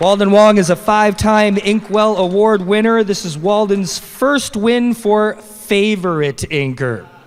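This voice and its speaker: A man talks in a high voice at a fairly slow pace with hardly any pauses. His pitch varies in an ordinary way, and there is noticeable background noise. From Canada. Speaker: awards presenter. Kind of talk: awards ceremony presenting. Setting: stage with audience at comic convention.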